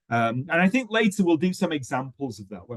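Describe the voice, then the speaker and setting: With a British accent, a man talks using lively intonation. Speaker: webinar host and English teaching trainer. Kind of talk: educational webinar discussion. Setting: online webinar. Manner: hesitant, many fillers.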